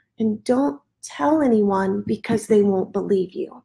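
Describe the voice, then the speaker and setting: This woman has an American accent. She talks at a fairly slow pace. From US Midwest. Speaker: ministry leader. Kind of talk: testimony. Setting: livestreamed podcast.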